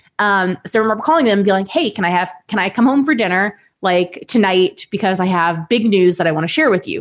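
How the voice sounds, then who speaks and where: A woman speaks very fast with a Midwestern US accent. The recording is very clean, with a silent background. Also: medium pitch for a woman. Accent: US Midwest. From Ohio, US Midwest. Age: 30s. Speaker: esports host and content creator. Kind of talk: casual chat.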